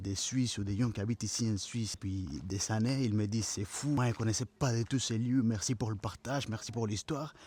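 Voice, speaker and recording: A man with a non-native accent and a dark, mellow tone speaks fairly quickly at a medium pitch, in a very clean recording with a silent background. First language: not French (speaking French). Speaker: travel vlogger. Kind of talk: casual vlog monologue. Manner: halting.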